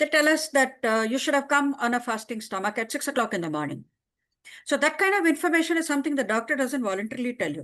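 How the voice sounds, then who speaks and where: In an Indian accent, a woman talks at a very fast pace. Her voice is high-pitched, with lively intonation. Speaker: writer. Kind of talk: casual chat. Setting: video call.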